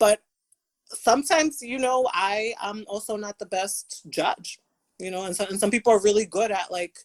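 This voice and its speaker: A woman speaks at a moderate pace in a normal speaking voice, pitched fairly high with ordinary pitch variation. Her loudness swings widely, and the sound is dry and close with no echo. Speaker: podcast co-host. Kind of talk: casual chat.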